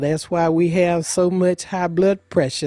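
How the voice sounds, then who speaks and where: Her tone dark and mellow, a woman speaks at a fairly slow pace and a fairly low pitch. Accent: Alabama. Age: 70s. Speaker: retired cotton farm elder. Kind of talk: interview storytelling.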